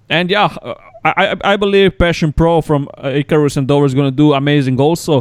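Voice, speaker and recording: Speaking at a very fast pace with a Croatian accent, a man with a fairly high pitch shows ordinary pitch variation in a dry, close sound with no echo. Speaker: pro wrestler and podcast host. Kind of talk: casual chat.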